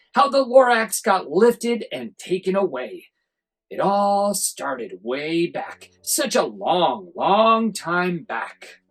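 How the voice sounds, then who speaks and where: A put-on character voice, female-sounding and middle-pitched, at a very slow pace over faint background music. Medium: read story.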